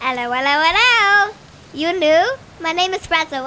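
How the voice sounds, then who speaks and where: A woman puts on a character voice at an extremely high pitch, speaking at a moderate pace. Background noise is clearly audible. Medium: actual play. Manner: chatty, repetitive.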